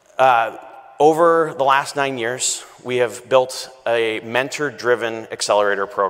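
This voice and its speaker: Over a quiet background, a man with medium pitch and ordinary pitch variation talks at a fairly slow pace. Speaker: accelerator managing director. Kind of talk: welcome speech. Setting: stage with audience. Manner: enthusiastic. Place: stage.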